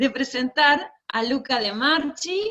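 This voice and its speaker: A high-pitched woman speaks at a very slow pace in a bright, sharp tone. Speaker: event moderator. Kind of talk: formal introduction.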